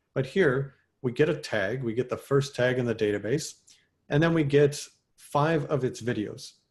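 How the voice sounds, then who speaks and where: A man with a somewhat breathy, medium-pitched voice speaks, his pitch varying in an ordinary way. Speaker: software developer presenting at a meetup. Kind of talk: technical talk. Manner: fast.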